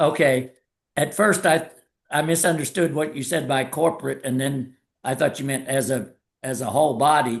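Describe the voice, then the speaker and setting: This man speaks at a moderate pace with a fairly high pitch. His voice is somewhat breathy and his pitch varies in an ordinary way. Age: 70s. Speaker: past president of a service organization, foundation chair. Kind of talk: Q&A answer in an online talk.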